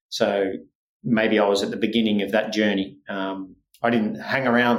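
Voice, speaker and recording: A man with an Australian accent, fairly low in pitch, flat and monotone, at a moderate pace, amid audible room echo. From Scotland, raised in Australia. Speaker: tennis sports scientist and venture investor. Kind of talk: interview. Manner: hesitant, many fillers.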